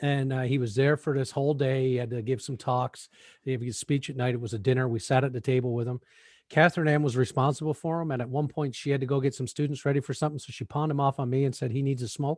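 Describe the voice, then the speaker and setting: In a Newfoundland accent, a man talks very fast at a medium pitch, somewhat breathy, in a dry, close recording with no echo and a quiet background. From Newfoundland, Canada. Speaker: podcast co-host. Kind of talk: casual chat. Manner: animated storytelling.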